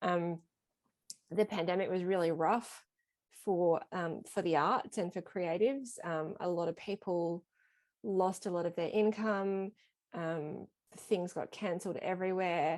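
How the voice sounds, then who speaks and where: A woman with a strong Australian accent speaks at a fairly low pitch and a fairly slow pace, her intonation fairly even and her pauses long and frequent. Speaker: small press publisher and editor. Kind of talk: casual interview on video call. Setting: video call.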